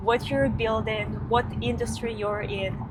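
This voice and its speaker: The talking is very slow, with audible room echo and noticeable background noise. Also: woman. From Ukraine. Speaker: company founder, vlogger. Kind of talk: casual chat.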